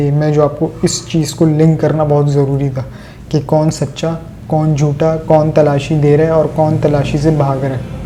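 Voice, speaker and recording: The speech comes in a flat monotone over noticeable background noise. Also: man. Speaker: political commentator. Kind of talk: political commentary monologue.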